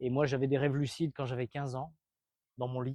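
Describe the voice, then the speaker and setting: A man at a medium pitch with a dark, mellow tone and fairly even intonation, in a dry, close sound with no echo and a quiet background. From France. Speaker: retired MMA fighter and coach. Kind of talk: motivational talk to a sports team. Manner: casual, with many hesitations.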